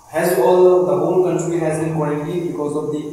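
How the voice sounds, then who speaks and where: A man talks at a fairly high pitch in a monotone, flat intonation. Strong room echo and light background noise surround him. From Manipur, India. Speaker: amateur social science teacher. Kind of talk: instructional video introduction. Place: home room. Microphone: camera far.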